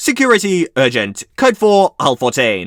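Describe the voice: What we hear is plain reading aloud.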